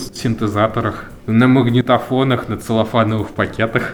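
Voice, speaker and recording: At a moderate pace, a man with a medium pitch speaks in a monotone, flat intonation. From Volzhsky, Volgograd region, Russia. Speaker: netlabel founder, music curator. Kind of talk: interview. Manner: calm.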